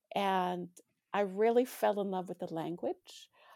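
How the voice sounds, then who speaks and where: Vocal fry runs through this woman's medium-pitched voice, which carries a Canadian accent. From Alberta, Canada. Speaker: author. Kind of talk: interview.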